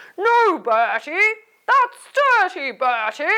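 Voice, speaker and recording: Extremely high and swinging very widely in pitch, this put-on character voice moves at a very slow pace. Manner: scolding.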